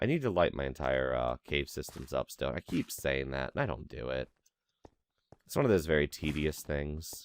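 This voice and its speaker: In a dry, close sound with no echo, a man with a very deep, low voice talks at a moderate pace in a relaxed tone. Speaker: gaming commentator. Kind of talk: casual let's play commentary.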